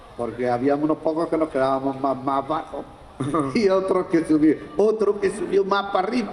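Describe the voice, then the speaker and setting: Noticeable background noise beneath a man's moderate pace. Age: 80s+. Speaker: longtime neighbourhood association member. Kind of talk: live podcast interview.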